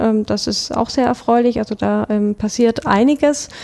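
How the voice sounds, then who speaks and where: A woman's fairly high voice in a southern German accent, with noticeable background noise. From Stuttgart, southern Germany (Swabia). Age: 30s. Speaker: bank department head. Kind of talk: casual interview.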